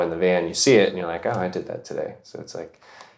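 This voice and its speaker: A man talks with a very deep, low pitch. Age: 20s. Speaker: camper van builder. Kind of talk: interview testimony. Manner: casual, with fillers.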